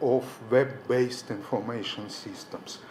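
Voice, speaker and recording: A man with a Russian accent speaks at a very slow pace. Noticeable background noise and audible room echo surround him. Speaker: professor. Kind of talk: conference presentation. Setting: conference hall.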